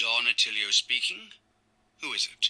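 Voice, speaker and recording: A man speaks at a moderate pace in a put-on character voice that is raspy. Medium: video game. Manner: urgent, caring.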